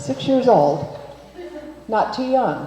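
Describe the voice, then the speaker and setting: A woman talks at a fairly slow pace with noticeable background noise behind her. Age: 70s. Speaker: minister. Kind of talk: sermon.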